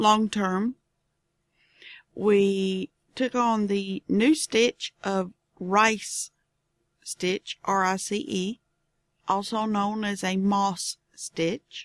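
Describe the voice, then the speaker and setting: A woman's medium-pitched voice in a Southern US accent, fairly even in intonation, with long, frequent pauses, on a very clean, dry, close recording with a silent background and no echo. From Southern United States. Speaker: knitting podcast host. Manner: casual, chatty, digressive.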